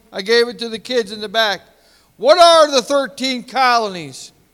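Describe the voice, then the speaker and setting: Loud and animated, a man with an American accent speaks at a fairly slow pace with an extremely high pitch and a bright, sharp tone. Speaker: pastor. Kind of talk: sermon. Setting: church.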